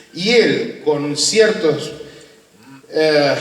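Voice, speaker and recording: A man with a fairly high pitch and lively intonation, amid audible room echo and noticeable background noise. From Argentina. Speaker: UFO researcher and interviewer. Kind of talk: conference talk.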